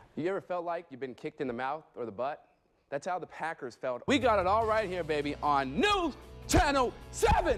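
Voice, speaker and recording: Over music in the background, a man speaks with an American accent. His high pitch makes very wide swings. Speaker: sports anchor and reporter. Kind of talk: local TV sports anchor and reporter delivery. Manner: upbeat, energetic, informal.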